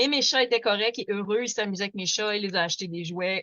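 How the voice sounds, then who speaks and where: Speaking with a Quebec accent, a woman uses a fairly high pitch and fairly even intonation. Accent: Québécois French. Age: 40s. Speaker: activist. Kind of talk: webinar presentation. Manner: fast; hesitant, many fillers.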